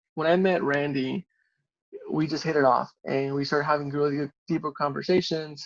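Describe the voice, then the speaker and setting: A man with a Spanish accent talks at a fairly quick pace, his fairly high voice monotone and flat. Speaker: civil engineer. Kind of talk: interview.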